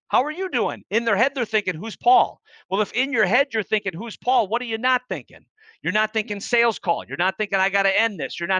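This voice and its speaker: A man's raised, projected voice, high-pitched and bright and sharp in tone, at a very fast pace over a quiet background. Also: dry, close sound with no echo. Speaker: sales coach and keynote speaker. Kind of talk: podcast interview. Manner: polished, few filler words.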